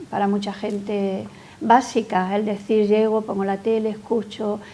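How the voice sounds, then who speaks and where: A woman speaks at a fairly slow pace in a fairly high pitch, her intonation monotone and flat. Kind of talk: interview answer.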